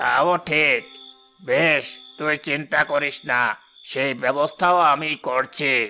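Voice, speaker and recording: Doing a cartoonish character voice, a man speaks at a very slow pace and a fairly high pitch, with faint music in the background. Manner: cackling, taunting.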